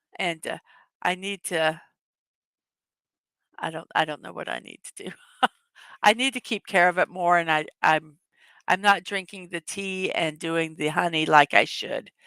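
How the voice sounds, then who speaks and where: In a put-on character voice, a woman sounds hoarse and fairly low, moving at a moderate pace with long, frequent pauses, recorded dry and close with no echo. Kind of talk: casual, conversational.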